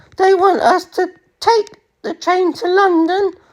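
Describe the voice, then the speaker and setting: Putting on an extremely high, squeaky character voice, a woman performs. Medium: read story.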